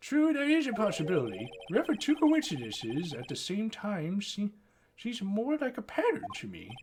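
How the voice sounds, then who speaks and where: Someone puts on a character voice at a moderate pace, with very wide pitch swings and big swings in loudness. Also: man, high pitch for a man. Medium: game stream. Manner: deliberate, mild.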